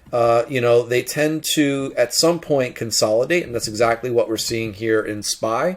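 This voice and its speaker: An ordinary speaking voice, this man talks at a moderate pace with lively intonation. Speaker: stock market analyst. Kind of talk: tutorial. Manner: casual.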